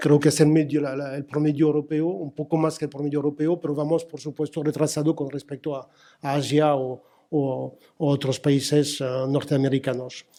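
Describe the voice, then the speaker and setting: Monotone and flat in intonation, a man with a fairly high pitch and a dark, mellow tone speaks at a moderate pace. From France. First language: French (speaking Spanish). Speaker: telecom industry executive. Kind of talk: conference panel talk. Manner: halting, many fillers and repetitions.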